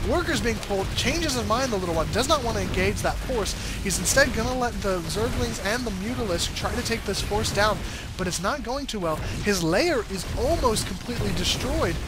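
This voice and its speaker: A man's fairly quick talk plays out over music in the background. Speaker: esports shoutcaster. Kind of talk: video game match commentary.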